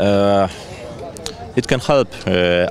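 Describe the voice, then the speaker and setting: A man talks at a very slow pace. Noticeable background noise can be heard. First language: Polish. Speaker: firefighter. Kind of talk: interview. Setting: outdoor competition event. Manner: halting, many hesitations.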